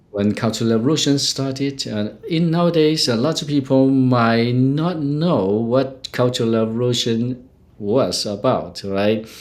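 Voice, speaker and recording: A man speaks at a medium pitch and a fairly slow pace. His loudness stays very even against noticeable background noise. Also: ordinary pitch variation. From China. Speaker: qigong healer. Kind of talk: interview. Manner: halting.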